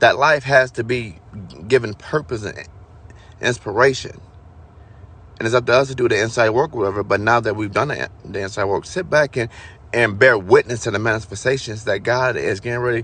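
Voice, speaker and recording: Fairly quick and medium in pitch, a man talks in an ordinary speaking voice. His pitch variation is ordinary. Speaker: spiritual vlogger. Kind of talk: spiritual monologue.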